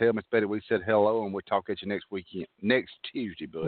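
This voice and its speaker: The speaker is a man. His accent is Southern US. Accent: Southern US drawl. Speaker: radio show host.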